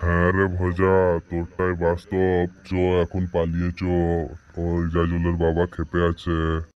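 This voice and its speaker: A man does a cartoonish character voice, pitched very deep and low. He speaks in a flat monotone at a moderate pace. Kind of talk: comic rustic cartoon dialogue. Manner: blunt, colloquial, gruff.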